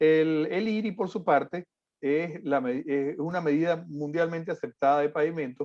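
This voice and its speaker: With ordinary variation in his pitch, a man speaks fairly high. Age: 50s. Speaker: civil engineer, conference speaker. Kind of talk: lecture. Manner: frequent fillers and hesitations.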